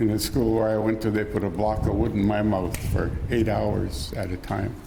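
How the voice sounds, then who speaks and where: A man speaks at a fairly low pitch and a moderate pace, with monotone, flat intonation and very even loudness. Noticeable background noise and audible room echo surround him. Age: 70s. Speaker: residential school survivor and elder. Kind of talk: testimony. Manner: halting.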